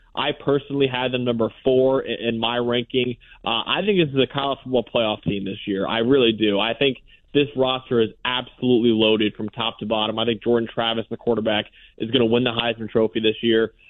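Here a man talks in a normal speaking voice at a medium pitch. His pace is fairly quick and his intonation fairly even. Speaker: football analyst. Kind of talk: radio interview.

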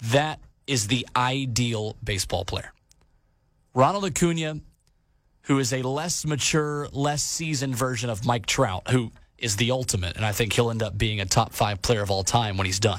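An unremarkable speaking voice with lively intonation moves at a moderate pace in a very clean recording with a silent background. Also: man, medium pitch for a man. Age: 20s. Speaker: sports podcast host. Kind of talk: sports talk podcast monologue.

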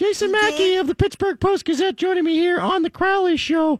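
A put-on character voice, strained and extremely high in pitch, moves at a fairly quick pace. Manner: strained, put-on voice.

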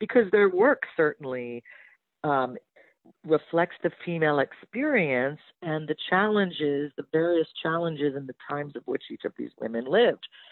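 A woman with a very deep, low pitch, lively intonation, big swings in loudness and a moderate pace. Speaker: writer and book publisher. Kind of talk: interview.

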